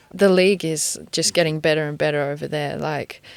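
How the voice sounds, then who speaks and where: A woman with an English accent, her pitch very deep and low, in a dry, close sound with no echo. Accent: English accent picked up. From Australia. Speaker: professional footballer. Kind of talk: casual interview. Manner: hesitant, many fillers.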